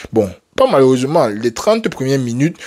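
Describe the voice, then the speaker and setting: A man speaks at a fairly quick pace in an animated tone. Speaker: football YouTuber. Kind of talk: casual match debrief to camera. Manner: halting, stumbling.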